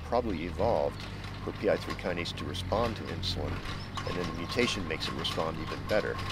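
A man talks at a very fast pace. Noticeable background noise runs under a dry sound with no echo. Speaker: interviewee. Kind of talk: interview answer. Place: garden.

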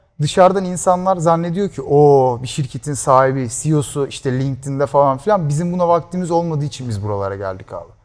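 Swinging his pitch very widely, a man talks at a moderate pace. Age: 20s. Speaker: startup founder; guest. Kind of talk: interview. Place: studio. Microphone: lapel.

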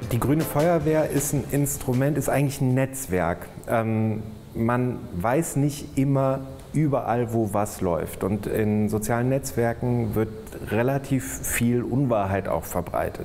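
Over music in the background, a man speaks at a very slow pace with ordinary pitch variation and very even loudness. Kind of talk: interview answer. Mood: relaxed, friendly. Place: office. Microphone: lapel.

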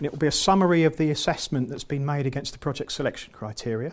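In an English accent, a man with a fairly high voice speaks very fast with lively intonation. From England. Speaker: EU funding consultant and trainer. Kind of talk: lecture. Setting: seminar room with live audience. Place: meeting room. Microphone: lapel.

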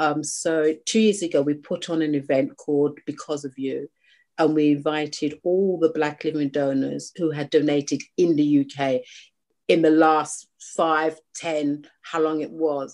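A woman's very deep, low voice in a British accent, fairly slow in pace, fairly even in intonation, against a quiet background. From UK. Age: 40s. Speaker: charity founder, living kidney donor. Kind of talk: interview. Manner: halting.

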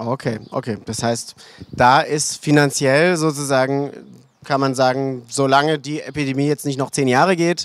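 The speaker is a man with a fairly high pitch and fairly even intonation. He talks at a moderate pace, and the sound is dry with no echo. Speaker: panel moderator. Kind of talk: panel discussion. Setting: stage with audience. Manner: hesitant, many fillers. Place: stage.

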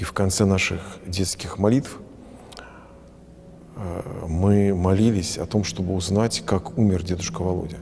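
With long, frequent pauses, the voice moves at a fairly slow pace with fairly even intonation over light background noise. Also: man, very deep, low pitch for a man. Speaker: priest. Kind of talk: interview answer. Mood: warm, reflective. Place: church.

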